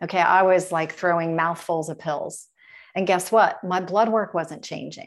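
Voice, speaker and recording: With an American accent and a plain, everyday voice, a woman speaks at a moderate pace and medium pitch with fairly even intonation. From US Midwest, Dayton, Ohio. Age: 50s. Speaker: health and wellness business owner. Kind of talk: interview.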